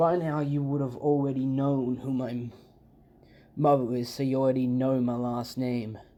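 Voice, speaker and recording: There is audible room echo as a man with a medium-pitched voice talks at a moderate pace in a monotone, flat intonation. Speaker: fan fiction youtuber. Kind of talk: improvised storytelling. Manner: casual, halting.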